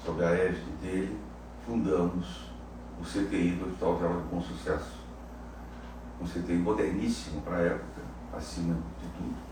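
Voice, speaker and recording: A man with a very deep, low pitch uses lively intonation and takes long, frequent pauses. Audible room echo and noticeable background noise surround the recording. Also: moderate pace. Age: 80s+. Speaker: cardiologist. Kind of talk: interview. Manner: halting.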